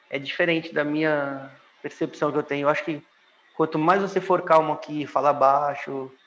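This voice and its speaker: Noticeable background noise runs under this recording. The man speaks in a flat, monotone way. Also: fairly high pitch for a man. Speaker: former expatriate in Italy. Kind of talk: casual interview. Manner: slow, calm, soft-spoken; calm.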